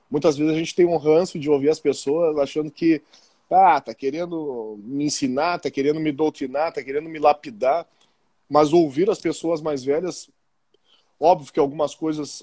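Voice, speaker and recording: A man's fairly high voice with a dark, mellow tone, fairly even intonation and moderate pace, in a dry, close sound with no echo. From Porto Alegre, southern Brazil. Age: 40s. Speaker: physical education teacher and football referee. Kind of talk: casual interview.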